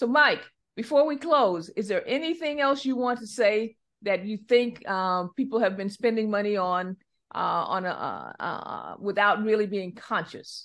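A woman speaks fairly slowly in a plain, everyday voice, pitched fairly high, with lively intonation against a quiet background. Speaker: financial advisor. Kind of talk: casual radio chat. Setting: studio.

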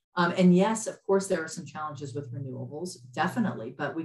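The voice is somewhat breathy and moves at a fairly quick pace. It carries an American accent. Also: woman. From US South, Lafayette, Louisiana. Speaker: environmental activist, nonprofit director. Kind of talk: interview conversation.

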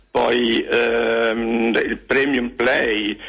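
A man speaks over noticeable background noise. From Genoa, Italy. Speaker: caller. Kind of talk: casual phone call. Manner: halting, hesitant.

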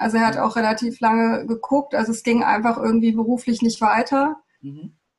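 This is a woman's voice. Its pitch is fairly high. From Germany, Hesse (Darmstadt), born in Peru. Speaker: architect, TEDx organizer. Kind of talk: interview. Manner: halting, many fillers.

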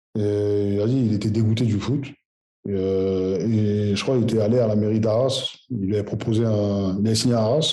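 A man with a fairly low pitch and a dark, mellow tone speaks at a moderate pace. His intonation is fairly even, his loudness very even, and the room adds an audible echo. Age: 30s. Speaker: footballer. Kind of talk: interview. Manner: halting.

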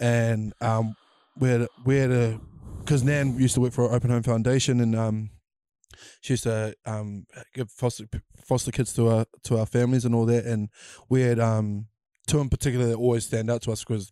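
A man with a New Zealand accent speaks at medium pitch in a dark, mellow tone, monotone and flat, at a fairly quick pace with long, frequent pauses, in a dry, close sound with no echo on a very clean recording with a silent background. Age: young. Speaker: podcast host. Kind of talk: casual chat.

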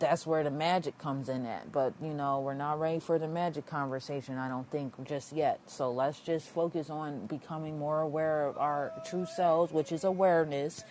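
The speech moves at a moderate pace with hardly any pauses and fairly even intonation. Noticeable background noise runs underneath. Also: woman, very deep, low pitch for a woman. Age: 30s. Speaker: book club host. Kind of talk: casual chat.

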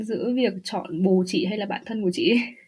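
Somewhat breathy woman, fairly high in pitch, with ordinary pitch variation. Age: 30s. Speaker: podcast guest living in Germany. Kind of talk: casual interview chat.

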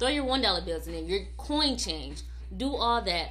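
A woman speaks with an American accent. Audible room echo and noticeable background noise fill the recording. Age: 20s. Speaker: podcast co-host. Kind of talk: casual chat.

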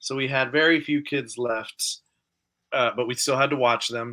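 A man talks at a moderate pace with a bright, sharp tone. His intonation is fairly even against a quiet background. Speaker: podcast host. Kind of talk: casual chat.

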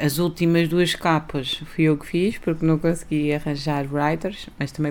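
A woman with a very deep, low voice. She speaks at a moderate pace in a flat monotone. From Algarve, Portugal (early childhood in Lisbon). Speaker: rapper. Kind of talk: casual interview.

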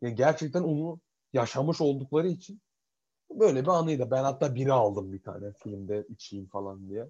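A man with a dark, mellow tone speaks at medium pitch and a moderate pace, his intonation lively and his loudness swinging widely. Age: 20s. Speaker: podcast co-host. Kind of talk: casual chat. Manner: animated.

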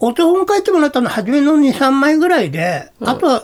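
A man speaks at an extremely high pitch with very wide pitch swings. His pace is moderate, and background noise is noticeable. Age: 60s. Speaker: calligrapher. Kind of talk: interview. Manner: casual.

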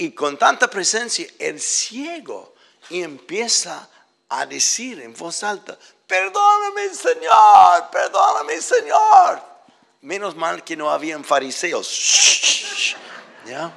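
Shouting, a man delivers his words at a very slow pace. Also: big swings in loudness. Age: 70s. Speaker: visiting preacher. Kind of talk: sermon, preacher in full flow. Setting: church with congregation. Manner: passionate, urgent, exhorting; animated, emotional.

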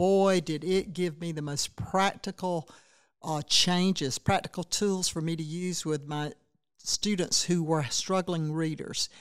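Over a very clean recording with a silent background, a woman with a South Carolina accent speaks at a fairly slow pace, with fairly low pitch and fairly even intonation. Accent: Southern US (South Carolina). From US South, Saluda County, South Carolina. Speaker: state education official, former teacher and legislator. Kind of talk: interview.

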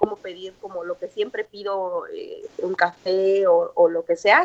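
The speaker goes at a very slow pace in a Mexican accent. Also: woman. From Mexico, Morelia, Michoacán. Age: 20s. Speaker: English teacher living abroad. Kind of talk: interview, casual chat.

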